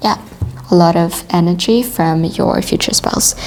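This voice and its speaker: There is noticeable background noise as a woman speaks with a non-native accent. Her pitch is medium, with ordinary variation. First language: not English. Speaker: tarot reader. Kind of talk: tarot reading monologue.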